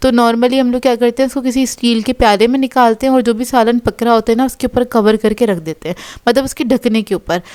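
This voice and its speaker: High-pitched and recorded dry and close with no echo, a woman talks at a fairly quick pace with hardly any pauses and fairly even intonation. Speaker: cooking vlogger. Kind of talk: cooking tutorial, casual chat.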